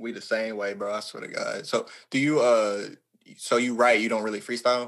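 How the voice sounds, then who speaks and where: A man at medium pitch with a Southern US accent, a fairly quick pace, ordinary pitch variation, and big swings in loudness. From Arkansas. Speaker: podcast host and rapper. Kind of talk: podcast interview.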